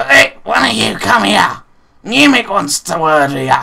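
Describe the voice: A man's put-on character voice, fairly high in pitch, fairly slow, with very wide pitch swings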